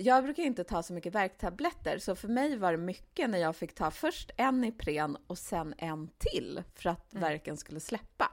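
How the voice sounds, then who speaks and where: A woman speaks at medium pitch and a moderate pace with hardly any pauses, her pitch swinging very widely, on a very clean recording with a silent background. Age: 40s. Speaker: podcast co-host, author. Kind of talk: casual chat.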